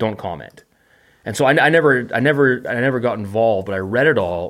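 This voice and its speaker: In a very clean recording with a silent background, a man with a Canadian accent uses a normal speaking voice at medium pitch, speaking at a moderate pace with lively intonation. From Canada, Vancouver. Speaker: podcaster and video maker. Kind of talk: casual chat.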